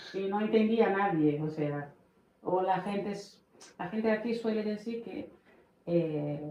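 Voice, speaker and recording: A woman with a Portuguese accent speaks at a very slow pace against noticeable background noise. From Brazil, Bahia. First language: Portuguese (speaking Spanish). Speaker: immigrant mother. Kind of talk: podcast interview.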